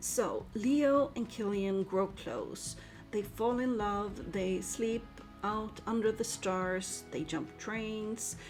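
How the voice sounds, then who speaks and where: A woman's medium-pitched voice at a very slow pace, with music in the background. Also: ordinary pitch variation. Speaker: book reviewer. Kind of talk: book review voice-over. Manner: enthusiastic.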